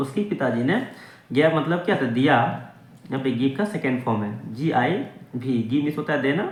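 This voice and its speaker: This man talks at a moderate pace in a medium pitch, his intonation lively. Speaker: English teacher / language learning YouTuber. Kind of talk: English lesson, word-by-word translation and grammar explanation.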